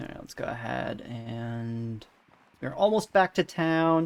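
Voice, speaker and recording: The tone is relaxed. The speaker has a Northeastern US accent. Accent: American Northeast accent, self-described. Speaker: video game streamer. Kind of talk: live gameplay commentary and chat with viewers. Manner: casual, relaxed.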